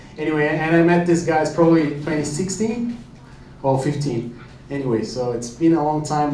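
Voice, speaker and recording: A man with a Brazilian accent talks at a fairly quick pace and a fairly high pitch. Noticeable background noise and audible room echo fill the recording. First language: Portuguese. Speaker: company founder, sponsor. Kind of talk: event announcement.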